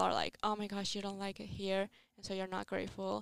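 A woman speaks at a medium pitch with a strong Italian accent, in a very clean recording with a silent background and a dry, close sound with no echo. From Italy. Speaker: podcast host, exchange student. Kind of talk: casual chat.

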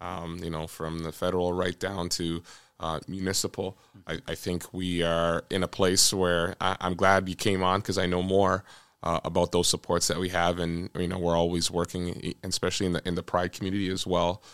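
In a very clean recording with a silent background, a man speaks at a very deep, low pitch with monotone, flat intonation and a dry, close sound with no echo. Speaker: police officer podcast host. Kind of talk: casual interview conversation.

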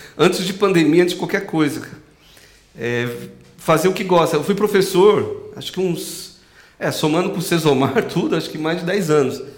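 A man with a high voice talks at a fairly quick pace, his pitch moving in an ordinary way and his loudness rising and falling sharply, over noticeable background noise in a room with audible echo. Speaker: podcast host; music teacher. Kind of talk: casual chat.

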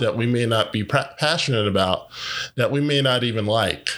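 A man with a medium-pitched voice, fairly even intonation and an ordinary speaking voice, on a very clean recording with a silent background. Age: 40s. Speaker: podcast host and life coach. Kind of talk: motivational monologue.

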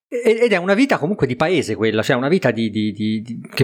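A man's very fast speech with lively intonation. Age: 40s. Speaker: podcast co-host. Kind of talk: casual chat. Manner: halting, repeats words.

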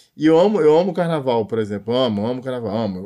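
A man talks very fast with lively intonation, on a very clean recording over a silent background. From Rio de Janeiro (Realengo). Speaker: singer-songwriter. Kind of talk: interview.

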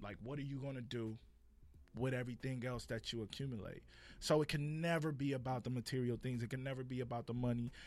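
In a Los Angeles accent, a man rattles along at a very fast pace with a medium pitch and fairly even intonation. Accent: Californian, Los Angeles. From Compton, Los Angeles. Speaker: playwright and producer. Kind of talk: casual podcast interview.

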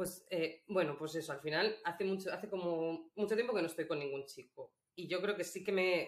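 A woman speaks at a moderate pace with hardly any pauses. Her pitch is fairly low, with ordinary variation. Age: 30s. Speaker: illustrator and feminist activist. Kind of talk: interview conversation. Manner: hesitant, with fillers.

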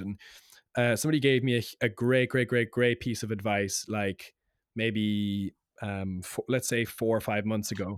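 A man with a Cork accent speaks at medium pitch with ordinary pitch variation, in a dry, close sound with no echo on a very clean recording with a silent background. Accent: Cork Irish. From Ireland, Cork. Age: 20s. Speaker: singer-songwriter. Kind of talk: casual chat.

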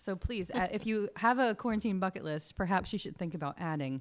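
At a fairly quick pace, a woman with a normal speaking voice talks at medium pitch with lively intonation. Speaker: church minister. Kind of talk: religious discussion. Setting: home recording during quarantine.

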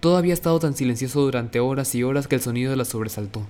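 A man at a very fast pace, medium pitch with ordinary variation, over music in the background. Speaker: audiobook narrator. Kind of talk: audiobook reading of a fantasy novel, narrated storytelling. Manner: vivid, dramatic narration with suspense, voicing characters' lines.

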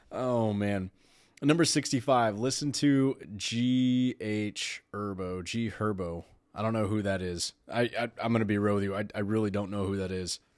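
This man has a plain, everyday voice with an American accent, a fairly low pitch and ordinary pitch variation. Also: moderate pace, very clean recording, silent background. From Texas. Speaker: podcast host. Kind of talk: solo podcast monologue.

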